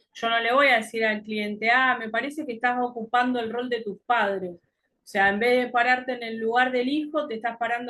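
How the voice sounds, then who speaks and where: A woman's plain, everyday voice, fairly high in pitch, at a moderate pace with fairly even intonation and big swings in loudness. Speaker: coaching teacher. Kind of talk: lecture.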